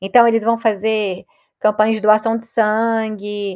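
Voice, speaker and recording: Delivery is monotone and flat at a moderate pace. The recording is very clean, with a silent background. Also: woman. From Brazil, Belo Horizonte. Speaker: sociologist professor. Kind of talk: interview.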